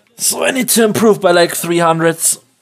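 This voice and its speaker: A man with a German accent at a moderate pace, ordinary pitch variation, and music in the background. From Germany. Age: 20s. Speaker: video game streamer. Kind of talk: live gameplay commentary. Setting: live stream.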